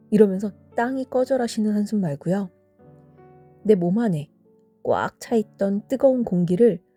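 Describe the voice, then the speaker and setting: Music plays in the background as a woman talks at a fairly slow pace with long, frequent pauses. Her pitch is fairly high, and the sound is dry and close with no echo. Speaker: vocal therapist and singer. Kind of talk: sleep-time audio essay reading. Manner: soft-spoken, calm.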